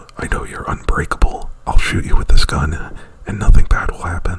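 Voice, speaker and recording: A man whispers at a moderate pace. Noticeable background noise can be heard behind him. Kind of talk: ASMR roleplay, unscripted movie plot retelling. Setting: close to microphone. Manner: whispered; hesitant, rambling.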